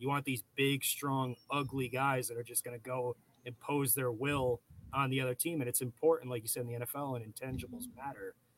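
A man with an unremarkable speaking voice and medium pitch talks at a fairly quick pace, the sound dry and close with no echo. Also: fairly even intonation. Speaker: fantasy football podcast co-host. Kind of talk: casual podcast chat.

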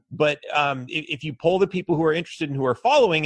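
Speaking at a fairly quick pace, a man has a fairly high pitch and a somewhat breathy voice with an American accent. The sound is dry and close with no echo, and the background is quiet. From Los Angeles, later Texas. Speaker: political candidate. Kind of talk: interview.

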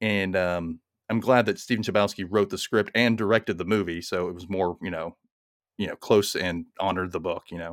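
In a very clean recording with a silent background and a dry, close sound with no echo, a man with an American accent talks at a moderate pace and fairly low pitch, with fairly even intonation and big swings in loudness. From US South, Mississippi. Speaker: podcast host. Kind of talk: casual chat. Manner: snappy.

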